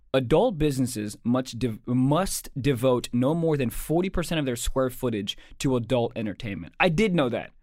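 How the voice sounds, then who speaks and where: An ordinary speaking voice from a man, medium in pitch, lively in intonation, at a moderate pace with hardly any pauses. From Maryland, US. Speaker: comedian and podcast co-host. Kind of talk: casual chat; reading aloud.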